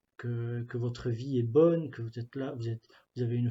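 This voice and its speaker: A man's medium-pitched, somewhat breathy voice with a dark, mellow tone, against a quiet background. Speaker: youth ministry pastoral worker. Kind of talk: spiritual reflection talk. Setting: office. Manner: halting, many fillers and repetitions.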